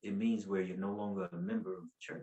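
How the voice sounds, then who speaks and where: With a North Carolina accent, a man talks in very wide pitch swings. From US South, Asheville, North Carolina. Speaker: preacher. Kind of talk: testimony. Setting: podcast interview.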